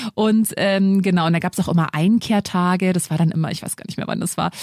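Talking at a very fast pace, a woman keeps to a fairly low pitch. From Lower Bavaria, Germany. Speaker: podcast host, single mother. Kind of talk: casual chat. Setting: studio.

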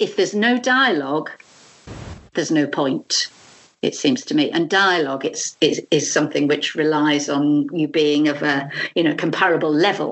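Speaking in a British accent, a woman has a very deep, low pitch with ordinary pitch variation and very even loudness. Her pace is moderate, and background noise is noticeable. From UK. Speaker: arts management educator and trainer. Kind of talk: interview conversation. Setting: Skype call.

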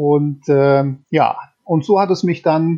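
The speaker is male, with a fairly high voice. Intonation remains fairly even throughout. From Bergisches Land, western Germany. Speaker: crime novelist. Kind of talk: interview. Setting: remote call.

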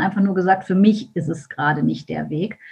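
A woman talks at a fairly quick pace in a somewhat breathy voice. Her pitch is medium, with ordinary variation. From Germany, Düsseldorf. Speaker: mindset and business coach. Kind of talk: podcast interview.

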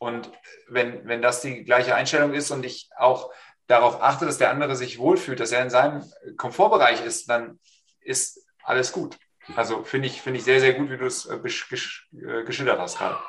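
A man talks in a plain, everyday voice. His pace is moderate and his intonation fairly even. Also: medium pitch for a man. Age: 40s. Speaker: business consultant. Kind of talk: online panel discussion.

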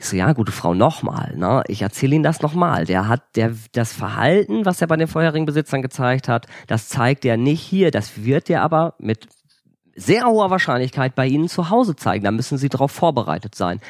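The recording is very clean with a silent background and a dry, close sound with no echo. A man of medium pitch talks at a fairly quick pace with very wide pitch swings. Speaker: author and former animal shelter manager. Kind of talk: casual storytelling interview. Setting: indoors by a wood stove. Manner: lively.

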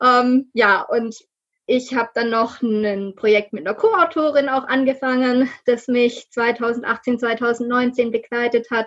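A woman speaks at a very slow pace in a high pitch. Her intonation stays fairly even. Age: 30s. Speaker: novelist. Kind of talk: interview.

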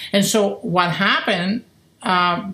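A woman is speaking. She has a Spanish accent. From Spain. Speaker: philosophy professor. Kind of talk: interview.

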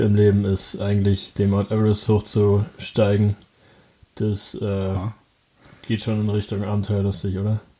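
In a fairly low voice, a man speaks at a moderate pace with monotone, flat intonation. Long pauses come often. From Brandenburg, Germany (Falkensee near Berlin). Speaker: podcast co-host, interviewed as guest. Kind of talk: casual interview.

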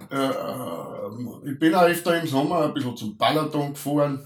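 This man has a fairly high pitch. He talks very slowly. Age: middle-aged. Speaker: podcast co-host. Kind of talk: casual chat. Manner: halting.

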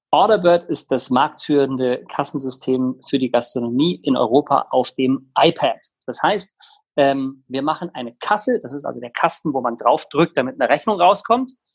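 A man's fairly high-pitched, normal speaking voice, a moderate pace and ordinary pitch variation. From Bavaria, Tegernsee near Munich. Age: 30s. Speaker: startup co-founder. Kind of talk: interview.

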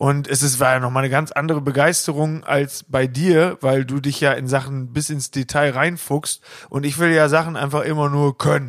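Hardly pausing, a man talks at a moderate pace in a fairly high pitch with monotone, flat intonation. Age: 20s. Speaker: band member and podcast co-host. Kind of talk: casual chat.

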